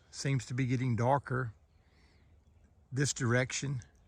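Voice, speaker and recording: Somewhat breathy, a man's medium-pitched voice holds a monotone, flat intonation. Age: 60s. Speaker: lay preacher. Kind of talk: devotional video monologue. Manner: halting, with repeated words.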